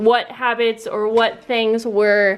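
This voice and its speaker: A woman with a fairly high pitch talks at a very slow pace with fairly even intonation. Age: 30s. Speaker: craft video creator. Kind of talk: tutorial. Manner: casual.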